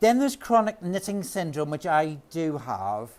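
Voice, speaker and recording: A man speaks with a Northern Irish accent. His tone is animated. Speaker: knitting author and speaker. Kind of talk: talk to a live audience. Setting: stage with audience.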